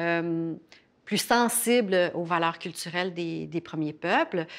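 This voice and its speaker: A woman at a fairly slow pace with ordinary pitch variation, in a very clean recording with a silent background. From Quebec, Innu First Nation. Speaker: professor and former journalist. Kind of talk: interview. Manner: halting, many fillers.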